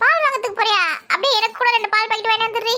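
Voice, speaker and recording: A cartoonish character voice from a woman, squeaky and extremely high-pitched, racing along at a very fast pace. Her loudness stays very even and her intonation fairly even. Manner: chatty, familiar, wheedling.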